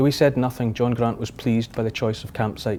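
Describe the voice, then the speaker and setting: A man with a Scottish accent speaks at a fairly quick pace in a medium-pitched voice. His tone is dark and mellow, his intonation monotone and flat. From Scotland. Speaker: author and TV presenter. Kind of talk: audiobook-style fiction reading.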